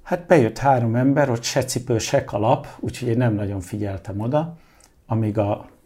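Somewhat breathy and dark, mellow in tone, a man speaks at a medium pitch with ordinary pitch variation and a fairly slow pace. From Hungary, born in London. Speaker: artist and interior designer. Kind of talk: interview.

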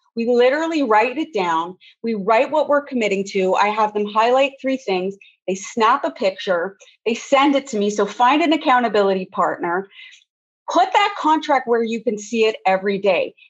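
Using an ordinary speaking voice, a woman talks at a moderate pace and fairly high pitch with lively intonation. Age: 50s. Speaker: women's weight and mindset coach. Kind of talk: podcast interview.

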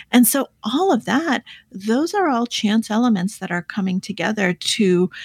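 A woman speaks at a fairly slow pace with a medium pitch and a somewhat breathy voice. The recording is very clean, with a silent background and a dry, close sound with no echo. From born in the Soviet Union, raised in the US. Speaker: author and poker player. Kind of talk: interview.

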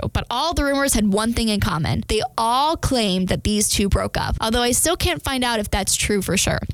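An ordinary speaking voice from a woman, fairly high and lively in intonation, very even in loudness, at a moderate pace with hardly any pauses. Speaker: podcast host. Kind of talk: casual chat.

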